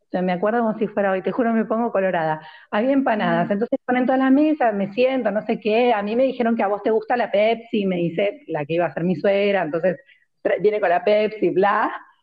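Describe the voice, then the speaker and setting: A woman speaks with an Argentine accent at a fairly quick pace. Her voice is fairly high, with ordinary pitch variation. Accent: Rioplatense Argentine Spanish. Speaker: podcast co-host. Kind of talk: casual chat. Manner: loud.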